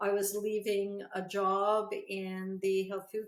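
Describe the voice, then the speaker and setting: A woman speaks at a medium pitch. Her intonation is monotone and flat. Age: 60s. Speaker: psychic and naturopath. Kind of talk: interview.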